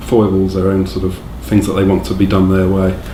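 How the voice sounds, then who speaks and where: A man with an English accent, a very deep, low pitch, fairly even intonation and a fairly quick pace, amid noticeable background noise and audible room echo. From England. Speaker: direct support worker. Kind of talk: interview. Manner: halting.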